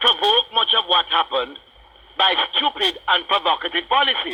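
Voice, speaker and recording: A man speaks with a Jamaican accent. Noticeable background noise runs behind him. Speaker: radio talk show host. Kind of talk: radio talk show monologue. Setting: radio broadcast.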